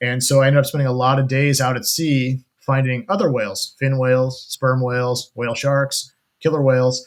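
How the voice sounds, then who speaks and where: The speaker has an American accent and a monotone, flat intonation. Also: man, medium pitch for a man, fairly quick pace. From US Midwest (Kansas and Colorado). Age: 40s. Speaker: ocean adventurer and wildlife cameraman. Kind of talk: interview conversation.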